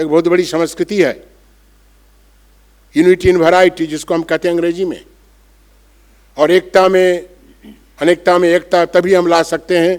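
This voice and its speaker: A man speaks in a high voice with flat, monotone intonation, the sound dry and close with no echo. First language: Bengali (speaking Hindi). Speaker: monk. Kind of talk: conference speech. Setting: auditorium with audience.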